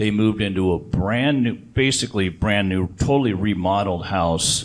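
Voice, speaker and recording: A man talks at a moderate pace with a fairly low pitch and ordinary pitch variation. It is an ordinary speaking voice. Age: 60s. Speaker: reverse mortgage specialist. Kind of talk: seminar presentation.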